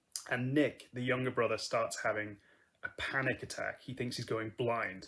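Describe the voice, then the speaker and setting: This man's voice sits at a medium pitch, somewhat breathy, with ordinary variation in pitch. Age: 20s. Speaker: acting school applicant. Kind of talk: audition self-introduction.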